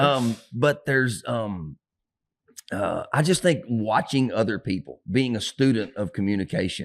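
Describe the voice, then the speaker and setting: A man talks at a medium pitch with lively intonation. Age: 50s. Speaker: pastor. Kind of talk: casual chat. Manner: fast; loud.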